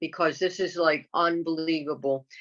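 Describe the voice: A woman speaks at a moderate pace in a low pitch, her fairly bright tone carried on fairly even intonation.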